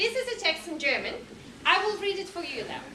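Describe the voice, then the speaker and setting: Over noticeable background noise and audible room echo, a woman with a Russian accent uses a raised, projected voice with ordinary pitch variation. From Russia, Moscow. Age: 40s. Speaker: language teacher. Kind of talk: lecture.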